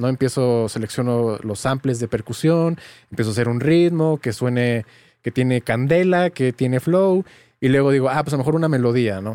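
Dark, mellow voice of a man at medium pitch in a Mexican accent, ordinary pitch variation, dry and close with no echo. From Mexico, small town. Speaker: music producer and tutorial creator. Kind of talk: casual interview chat.

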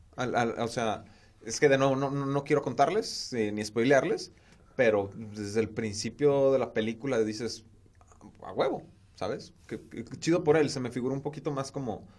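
Speaking at a moderate pace, a man with a plain, everyday voice keeps a medium pitch and ordinary pitch variation. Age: 20s. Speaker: podcast host, communications student. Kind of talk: casual chat.

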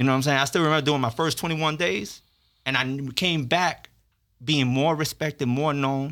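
A man's medium-pitched voice with an American accent, bright and sharp in tone, at a moderate pace, in a very clean recording against a silent background. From Miami, Florida (Little Havana). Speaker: formerly incarcerated policy analyst, law graduate. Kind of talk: casual interview storytelling.

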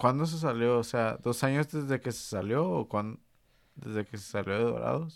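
Someone with a Mexican accent speaks at a moderate pace with ordinary pitch variation and big swings in loudness, in a very clean recording with a silent background. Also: man, medium pitch for a man. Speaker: football podcast host. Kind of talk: casual chat. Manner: animated.

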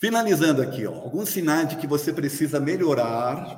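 Somewhat breathy, fairly high male speech. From Brazil. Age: 60s. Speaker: spiritist lecturer. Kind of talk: lecture. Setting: hall with live audience, also streamed.

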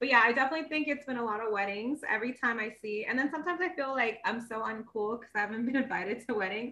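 A woman's bright, sharp, fairly high voice at a very fast pace, with hardly any pauses and ordinary pitch variation. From Indian-American. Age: 20s. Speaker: podcast co-host. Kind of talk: casual chat.

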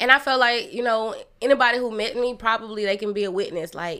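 Pitched fairly high, a woman with a bright, sharp tone and ordinary pitch variation speaks at a fairly quick pace in a very clean recording with a silent background. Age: 30s. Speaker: author and podcaster. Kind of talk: casual chat.

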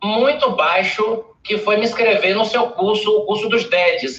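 High-pitched, a man speaks with ordinary pitch variation. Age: 50s. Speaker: dentist and public speaking mentor. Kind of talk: interview on a live stream.

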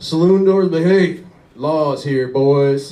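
Noticeable background noise behind a man speaking with fairly even intonation. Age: 40s. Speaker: stand-up comedian. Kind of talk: stand-up. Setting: stage with audience.

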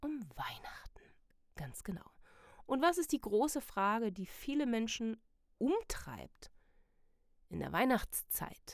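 A woman at a very slow pace, with very wide pitch swings, on a very clean recording with a silent background. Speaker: podcast host / life coach. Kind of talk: motivational monologue. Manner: casual, many filler sounds.

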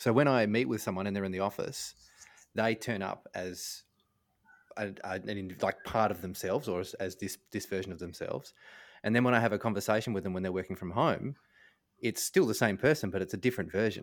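With an Australian accent, a man speaks at a fairly quick pace in a fairly low pitch, using ordinary pitch variation and long, frequent pauses, on a very clean recording with a silent background. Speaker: podcast co-host. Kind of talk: casual chat.

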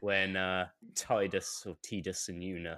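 The recording is very clean, with a silent background. A man speaks at a very slow pace. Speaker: quiz adjudicator and music round maker. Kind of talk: live stream casual chat. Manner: sarcastic, joking.

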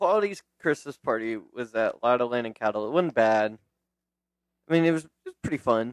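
A man with an ordinary speaking voice talks at a medium pitch and a moderate pace, his intonation lively. The sound is dry and close with no echo. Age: 20s. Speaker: podcast co-host. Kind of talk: casual chat.

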